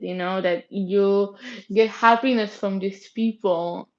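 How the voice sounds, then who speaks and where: A woman speaks with a Spanish accent at a fairly slow pace. Her pitch is fairly high. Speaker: K-pop fan vlogger. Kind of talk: casual vlog monologue. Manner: halting, many false starts.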